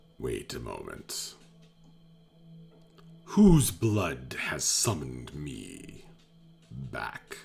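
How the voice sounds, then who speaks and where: A put-on character voice at a very slow pace, with long, frequent pauses over faint music in the background. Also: man, very deep, low pitch for a man. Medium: actual play. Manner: imperious, archaic.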